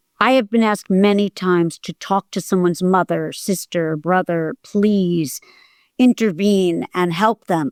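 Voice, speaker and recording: A woman with a plain, everyday voice talks at a medium pitch and a fairly slow pace, with ordinary pitch variation. The sound is dry and close with no echo, in a very clean recording with a silent background. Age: 60s. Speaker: acting teacher and coach sharing hoarding recovery. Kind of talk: interview.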